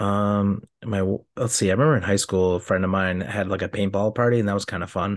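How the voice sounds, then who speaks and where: A man with a normal speaking voice talks at a fairly quick pace with hardly any pauses, his pitch fairly low and his intonation fairly even, against a quiet background. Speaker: podcast co-host. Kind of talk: casual chat.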